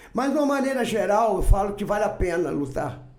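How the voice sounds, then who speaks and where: Audible room echo fills the space. A man speaks fairly quickly, his intonation lively. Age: 60s. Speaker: farmer, businessman and political candidate. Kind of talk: podcast interview.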